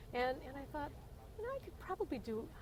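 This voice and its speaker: Noticeable background noise sits behind a woman speaking at a fairly quick pace. Her pitch swings very widely. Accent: American. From Indiana, USA. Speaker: Vietnam-era Army nurse. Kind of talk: oral history interview answer. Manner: casual, humorous storytelling.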